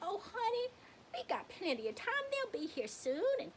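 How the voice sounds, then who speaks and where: A woman does a put-on character voice at an extremely high pitch with very wide pitch swings. Her pace is moderate, and background noise is clear. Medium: stage play. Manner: sweet, doting.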